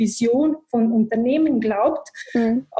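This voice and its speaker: With a Bosnian accent, a woman speaks at a fairly high pitch. Her tone is dark and mellow. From Bosnia and Herzegovina. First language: Bosnian (speaking German). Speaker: IT manager. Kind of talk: interview. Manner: halting, many fillers.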